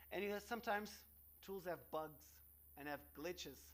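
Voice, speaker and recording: A man with a Portuguese accent speaks with ordinary pitch variation. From Portugal. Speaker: researcher. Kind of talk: conference talk. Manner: halting.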